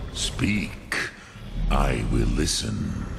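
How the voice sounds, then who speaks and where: A man in a put-on character voice, with clear background noise. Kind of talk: mystical sage teaching. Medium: video game. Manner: slow, solemn, measured.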